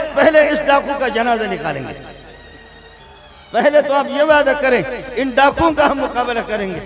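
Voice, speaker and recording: With an extremely high pitch, a man speaks in a passionate tone. Music plays in the background. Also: ordinary pitch variation. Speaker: Islamic scholar and madrasa teacher. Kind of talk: public religious speech at a conference rally. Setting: large crowd, stage with PA system. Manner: passionate, exhortative, oratorical.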